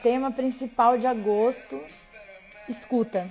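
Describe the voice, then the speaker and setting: Against music in the background, a woman speaks at a very slow pace in a high pitch. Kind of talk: live stream interview host.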